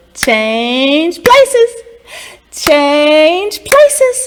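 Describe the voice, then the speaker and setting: A woman's put-on character voice, pitched extremely high, with very wide swings in pitch. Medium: read story. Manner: coaxing, sly.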